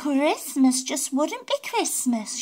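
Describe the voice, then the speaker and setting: In a put-on character voice, a female-sounding speaker talks at a high pitch. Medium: read story. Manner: fussy.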